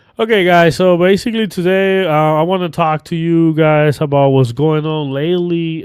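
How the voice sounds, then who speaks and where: Speaking with a Cuban accent, a man goes at a fairly slow pace. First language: Spanish. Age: 30s. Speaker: political commentary YouTuber. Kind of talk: casual vlog commentary. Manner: hesitant, with fillers.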